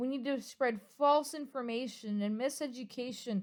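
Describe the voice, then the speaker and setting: A woman shouting, loud and high in pitch. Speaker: YouTuber. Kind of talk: apology vlog. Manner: loud, near yelling.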